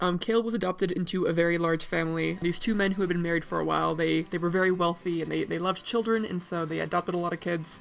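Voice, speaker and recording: This woman talks at a very fast pace with hardly any pauses, her pitch fairly low and her intonation fairly even. Noticeable background noise runs underneath. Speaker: tabletop role-player and artist. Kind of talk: casual talk to camera.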